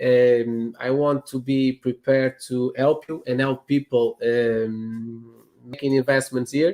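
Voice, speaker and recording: Very slow and flat in intonation, a man with a Portuguese accent speaks at a medium pitch in a dark, mellow tone. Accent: Portuguese accent, non-native English. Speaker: real estate agent. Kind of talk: interview. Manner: halting, many fillers and repetitions.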